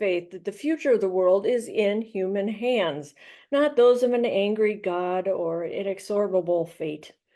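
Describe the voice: Someone does plain reading aloud with ordinary pitch variation.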